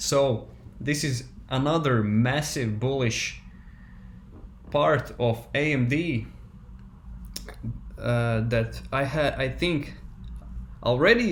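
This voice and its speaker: A man with a non-native accent at a medium pitch, long and frequent pauses, and audible room echo. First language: not English. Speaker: stock market YouTuber. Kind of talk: casual monologue. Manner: halting, many fillers and restarts.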